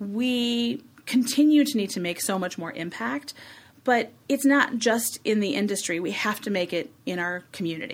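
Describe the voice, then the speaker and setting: A woman speaks in a normal speaking voice. Her pace is fairly slow, and her intonation is lively. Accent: American. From Chicago, US Midwest. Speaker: communications agency executive. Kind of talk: interview.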